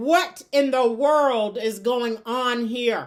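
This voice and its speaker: A woman's put-on character voice, high in pitch, at a very slow pace with ordinary pitch variation. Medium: read story. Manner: stern, terse.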